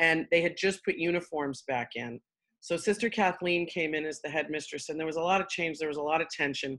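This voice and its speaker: This woman's voice sits fairly low in pitch, with ordinary pitch variation and a fairly quick pace. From Queens, New York. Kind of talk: casual interview.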